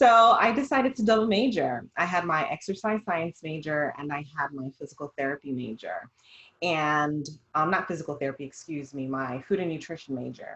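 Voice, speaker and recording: A woman with a slight Jamaican accent, very deep and low in pitch, at a moderate pace with very wide pitch swings. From Jamaica, raised Jamaican household in US. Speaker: dietitian. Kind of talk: casual discussion.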